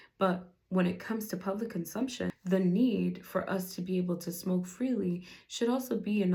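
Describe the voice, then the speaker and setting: Speaking with a non-native accent, this woman has a medium pitch and a dark, mellow tone that is somewhat breathy. Her pace is fairly slow and her intonation fairly even. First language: not English. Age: 20s. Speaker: podcast host. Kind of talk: solo podcast talk on policy. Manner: casual, conversational.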